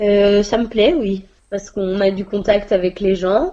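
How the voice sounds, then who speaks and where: A woman speaks at a medium pitch with a dark, mellow tone and fairly even intonation. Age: 20s. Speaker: pharmacy assistant. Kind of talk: interview. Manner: hesitant, with fillers.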